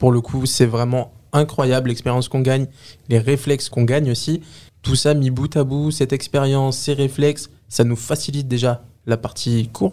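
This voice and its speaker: Dark, mellow male voice at a medium pitch, with a moderate pace and fairly even intonation. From Les Lilas, Seine-Saint-Denis, France. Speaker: work-study student, community manager. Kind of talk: interview. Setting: studio.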